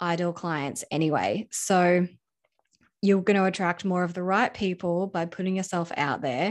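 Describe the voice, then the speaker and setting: Against a quiet background, a woman speaks at a medium pitch with an Australian accent. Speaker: video editor and coach. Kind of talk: interview. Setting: remote call.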